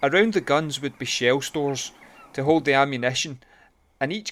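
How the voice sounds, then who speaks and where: Moderate pace with a Glaswegian accent. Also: man. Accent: Glaswegian Scottish. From Glasgow, Scotland. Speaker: local history video presenter. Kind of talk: documentary narration.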